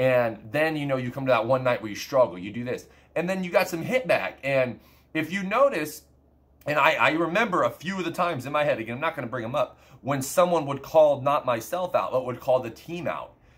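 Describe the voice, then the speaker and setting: Here is a man with a plain, everyday voice and a fairly high pitch. He talks at a fairly quick pace with lively intonation. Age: 20s. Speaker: gaming streamer. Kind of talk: casual monologue to viewers.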